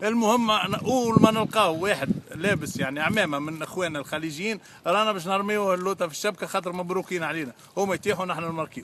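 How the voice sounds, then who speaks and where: Noticeable background noise sits behind a man with a Tunisian accent. He speaks at a fairly quick pace in a high pitch with ordinary pitch variation. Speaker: football fan. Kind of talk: interview answer.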